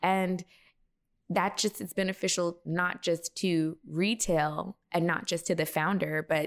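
On a very clean recording with a silent background, a woman with an American accent and a plain, everyday voice speaks at a fairly slow pace in a fairly low pitch. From Texas. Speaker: beauty brand founder and former makeup artist. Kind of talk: interview.

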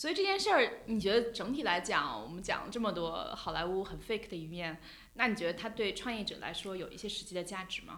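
A woman with a normal speaking voice talks with ordinary pitch variation and big swings in loudness. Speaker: journalist and podcast host. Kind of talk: casual interview chat. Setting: studio, face to face.

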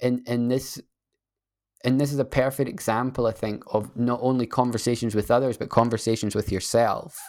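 Here a man speaks with a Scottish accent. His pitch is medium. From Scotland. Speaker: guest, tech startup founder. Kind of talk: casual interview conversation. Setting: remote video call. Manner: calming, slow, hesitant with fillers.

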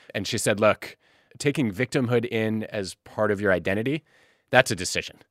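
A man speaks in a plain, everyday voice at a moderate pace, his pitch fairly low. The recording is very clean with a silent background, and the sound is dry and close with no echo. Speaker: podcast host. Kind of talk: interview conversation.

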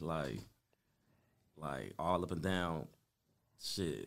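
An American accent marks a man with a very deep, low pitch, vocal fry and ordinary pitch variation, heard with audible room echo. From Compton, Los Angeles, US. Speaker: rapper. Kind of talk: casual interview.

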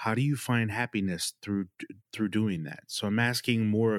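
A man's unremarkable speaking voice at a moderate pace, fairly low in pitch with fairly even intonation, in a very clean recording with a silent background and a dry, close sound with no echo. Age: 40s. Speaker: podcast host. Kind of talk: podcast interview.

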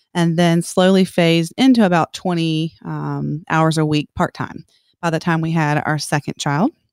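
In a plain, everyday voice, a woman with an American accent speaks at a moderate pace and a fairly low pitch with fairly even intonation, recorded very cleanly against a silent background with a dry, close sound and no echo. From South Carolina (Columbia). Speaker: teacher. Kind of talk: interview.

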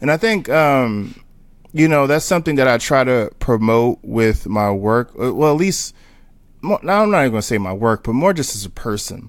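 A man with an American accent speaks at a moderate pace and medium pitch in an ordinary speaking voice. The recording is very clean, with a silent background. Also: lively intonation. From Newark, New Jersey. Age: 30s. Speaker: street photographer. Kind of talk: casual interview chat.

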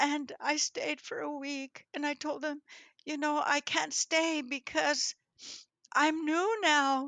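In a very clean recording with a silent background, a woman speaks very slowly in a raised, projected voice with high pitch and a bright, sharp tone. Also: ordinary pitch variation. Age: 80s+. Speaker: churchgoer sharing testimony. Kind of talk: testimony. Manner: lively, energetic.

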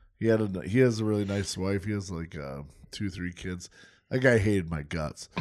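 In a very clean recording with a silent background, a man uses a normal speaking voice with fairly low pitch and ordinary pitch variation. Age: 30s. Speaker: podcast co-host. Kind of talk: casual chat.

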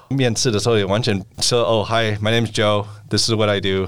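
A man at a fairly quick pace, an ordinary speaking voice. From United States. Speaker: venture capital partner. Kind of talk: interview.

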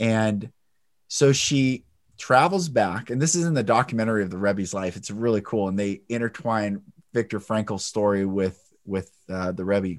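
A man with an ordinary speaking voice talks at a moderate pace. His fairly low pitch has ordinary variation, in a very clean recording with a silent background. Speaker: podcast host. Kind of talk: interview conversation.

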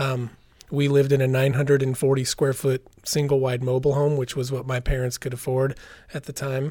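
Talking fairly quickly, a man with an American accent has a medium pitch, a dark, mellow tone, a somewhat breathy sound and monotone, flat intonation. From US West, southern Oregon. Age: 40s. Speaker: singer-songwriter. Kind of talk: personal testimony in interview.

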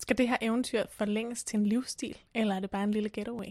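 A woman uses a normal speaking voice at a fairly high pitch and moderate pace, with fairly even intonation and a dry, close sound with no echo. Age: 30s. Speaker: podcast co-host. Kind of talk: casual chat.

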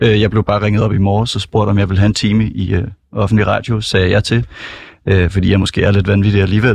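Over a quiet background, a man talks at a very fast pace in a fairly low, somewhat breathy voice with monotone, flat intonation. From Copenhagen, Denmark. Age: 20s. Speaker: student stand-in radio host. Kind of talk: casual radio chat. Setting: radio studio.

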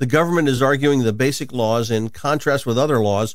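In an unremarkable speaking voice, a man talks at medium pitch with ordinary pitch variation. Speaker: radio host and Bible teacher.

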